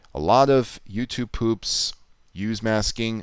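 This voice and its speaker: A man's medium-pitched voice, very slow and calm in tone, on a very clean recording with a silent background. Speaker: streamer. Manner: calm, explanatory.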